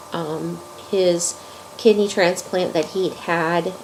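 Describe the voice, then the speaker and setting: Speaking very slowly at a medium pitch, a woman is heard over noticeable background noise. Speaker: crochet video maker. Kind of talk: casual vlog. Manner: halting, many fillers.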